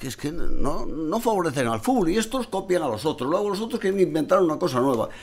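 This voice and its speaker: A man talks very fast in a high voice with very wide pitch swings and hardly any pauses, over noticeable background noise. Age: 70s. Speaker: football supporters club president. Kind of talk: casual chat.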